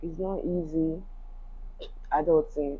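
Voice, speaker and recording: A woman speaks with a Yoruba accent. Her pitch is very deep and low, and her intonation is fairly even. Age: 30s. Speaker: YouTuber, crochet and knitwear fashion designer. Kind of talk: vlog monologue. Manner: reflective, casual.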